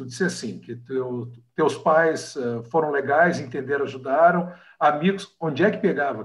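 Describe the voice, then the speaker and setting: There is audible room echo around this man's voice. He speaks at a moderate pace with lively intonation. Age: 50s. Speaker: podcast host, lawyer. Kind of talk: casual interview. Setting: video call.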